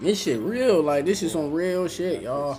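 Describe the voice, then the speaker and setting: Lively intonation marks this man's fairly high-pitched voice at a moderate pace. Audible room echo surrounds it. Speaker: livestreamer. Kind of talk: livestream monologue. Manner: loud; animated.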